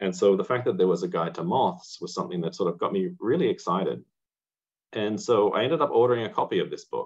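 Very fast speech from a man, the background quiet. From rural Australia. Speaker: amateur entomologist; presenter. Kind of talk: lecture. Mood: enthusiastic, friendly. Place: home room. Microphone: webcam.

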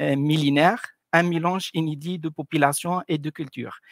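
A man with an Arabic accent speaks at a fairly slow pace in a fairly high pitch with fairly even intonation, the sound dry with no echo and the background quiet. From Tunisia. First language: Arabic (speaking French). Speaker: cultural presenter; presenter. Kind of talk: presentation. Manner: halting, many hesitations.

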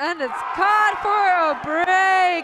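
A woman speaks in a raised, projected voice with lively intonation. Noticeable background noise runs underneath. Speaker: sports commentator. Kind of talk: live sports commentary.

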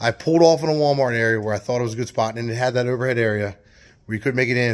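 The background stays quiet. A man talks with ordinary pitch variation. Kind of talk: casual vlog chat. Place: garage. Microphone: phone near.

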